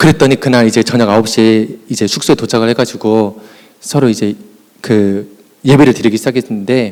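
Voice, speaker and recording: A man at a medium pitch, a fairly quick pace, and very even loudness. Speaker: youth pastor. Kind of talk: conference presentation. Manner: fast; animated.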